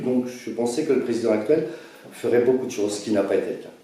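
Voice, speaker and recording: A man talks through noticeable background noise, with audible room echo around him. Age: 60s. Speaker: presidential candidate. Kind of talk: self-presentation interview. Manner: halting.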